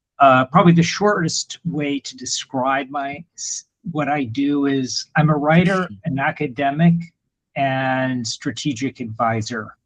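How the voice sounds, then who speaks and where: A man with an American accent speaks at a very slow pace and fairly high pitch. His voice is somewhat breathy with ordinary pitch variation, and the sound is dry and close with no echo. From United States. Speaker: writer and academic. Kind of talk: video call introduction.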